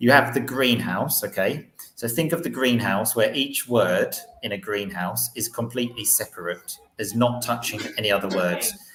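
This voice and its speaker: A man speaks at a moderate pace and with ordinary pitch variation while music plays in the background. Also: medium pitch for a man. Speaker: English teacher and podcaster. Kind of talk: casual chat.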